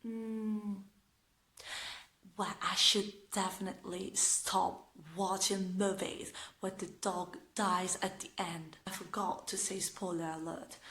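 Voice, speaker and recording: Speaking very slowly with an Italian accent, a woman uses a bright, sharp tone. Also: medium pitch for a woman. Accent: Italian accent, non-native English. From northern Italy. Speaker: vlogger. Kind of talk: casual vlog talk to camera. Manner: talkative, hesitant with fillers; sarcastic, ironic.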